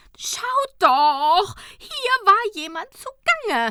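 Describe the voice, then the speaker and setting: This is a put-on character voice with very wide pitch swings. It moves at a very slow pace. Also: woman, extremely high pitch for a woman. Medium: read story. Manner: ominous, fretful.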